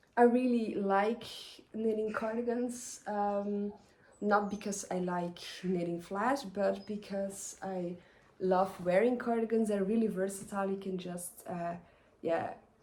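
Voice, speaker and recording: A woman with a Flemish accent speaks at a medium pitch and a fairly slow pace. Her intonation is fairly even, and room echo is audible. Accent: Flemish Dutch accent in English. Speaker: knitting podcaster. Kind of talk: casual vlog talk. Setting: outdoors in the garden. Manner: hesitant, many fillers.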